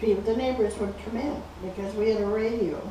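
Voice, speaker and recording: A woman's fairly even intonation amid noticeable background noise. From Canada. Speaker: retired teacher. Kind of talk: oral history interview answer.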